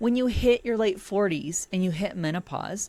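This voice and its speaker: An animated-sounding woman's voice. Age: 50s. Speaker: podcast host reacting to an article. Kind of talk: reaction commentary.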